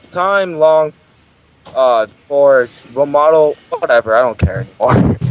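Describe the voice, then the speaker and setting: A man's robotic, put-on character voice at a very slow pace. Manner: robotic, monotone, stilted reading.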